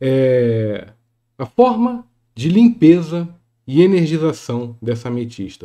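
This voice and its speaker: With a Brazilian accent, a man uses a dark, mellow tone at a fairly high pitch and swings his pitch very widely. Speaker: spiritual teacher and YouTuber; spiritual teacher, YouTuber. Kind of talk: tutorial. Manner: casual, hesitant.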